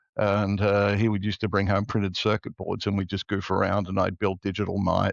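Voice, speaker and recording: With an Australian accent, a man speaks at a fairly low pitch in a dry, close sound with no echo and a quiet background. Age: 60s. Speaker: tech entrepreneur. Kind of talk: podcast interview.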